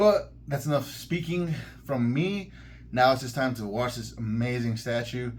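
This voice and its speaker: This man's voice sits at a medium pitch, somewhat breathy, with ordinary pitch variation and audible room echo. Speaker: collectibles YouTuber. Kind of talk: product review. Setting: in a collectibles store. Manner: fast; animated.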